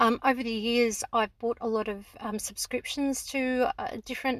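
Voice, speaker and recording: A woman with an Australian accent talks at a fairly quick pace in a fairly high pitch. The recording is very clean with a silent background, and the sound is dry and close with no echo. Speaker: homeschooling parent and educational website creator. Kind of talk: sales pitch. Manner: casual, with many fillers.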